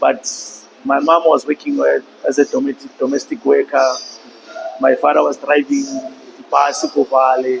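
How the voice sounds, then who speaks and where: A man speaks at a moderate pace with a Lesotho accent. Noticeable background noise runs under his voice. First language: Sesotho. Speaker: podcast guest. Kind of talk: interview.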